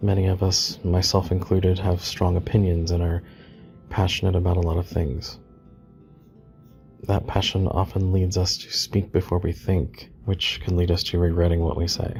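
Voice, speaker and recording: Soft-spoken, a man talks at a moderate pace in a very deep, low pitch with monotone, flat intonation, music playing in the background. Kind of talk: soft-spoken ASMR ramble while doodling. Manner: soft-spoken, rambling, reflective.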